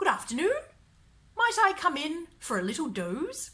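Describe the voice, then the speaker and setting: Speaking at a moderate pace, a woman uses a put-on character voice with an extremely high pitch. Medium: read story. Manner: refined, courteous.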